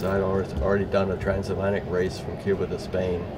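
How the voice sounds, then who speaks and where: A man speaks at a fairly low pitch. The recording has audible room echo and noticeable background noise. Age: 70s. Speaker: sailing school owner. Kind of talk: interview. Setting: outdoors. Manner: halting.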